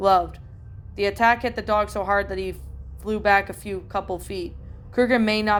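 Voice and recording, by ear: Someone reads aloud here in a natural voice.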